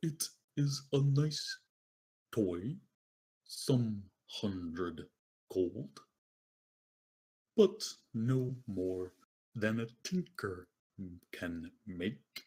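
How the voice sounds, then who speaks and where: A man's put-on character voice at a medium pitch, very slow, with long, frequent pauses. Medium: actual play. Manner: formal, cryptic, no contractions.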